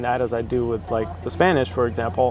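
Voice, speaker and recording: Noticeable background noise sits under a man who talks at a fairly quick pace. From Russia. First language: Russian. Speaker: BI consultant. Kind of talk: casual interview. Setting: sit-down chat.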